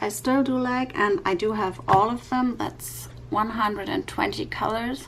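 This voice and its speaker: Noticeable background noise sits under a speaker with a non-native accent and lively intonation. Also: woman. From Europe. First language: not English. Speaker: YouTube coloring creator. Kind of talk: tutorial. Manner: halting, many fillers.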